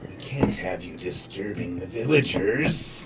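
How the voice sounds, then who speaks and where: A man's put-on character voice, fairly low in pitch and fairly slow in pace, over loud background noise. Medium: actual play. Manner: menacing, mocking.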